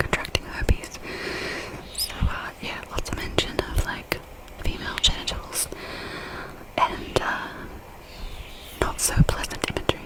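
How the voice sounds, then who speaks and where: A woman's whispering, with long, frequent pauses amid noticeable background noise. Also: big swings in loudness. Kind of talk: ASMR personal storytelling. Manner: whispered.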